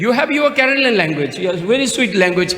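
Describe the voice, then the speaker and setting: With a Tibetan accent and lively intonation, a man speaks amid noticeable background noise and audible room echo. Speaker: Buddhist speaker. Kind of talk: speech at conference. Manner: halting.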